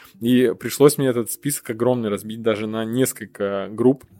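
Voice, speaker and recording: An ordinary speaking voice carries fairly even intonation from start to finish. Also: man. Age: 30s. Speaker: podcast host. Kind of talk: casual chat.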